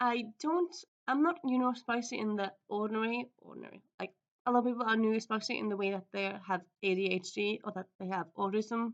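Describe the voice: The woman speaks at a fairly quick pace. Her pitch sits at a medium level.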